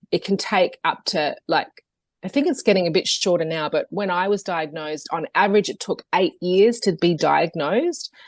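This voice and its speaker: A woman with an Australian accent speaks at a moderate pace and medium pitch, with ordinary pitch variation, in a dry, close recording with no echo and a quiet background. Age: 40s. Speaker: yoga teacher and health coach. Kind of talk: podcast interview. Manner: hesitant, many fillers.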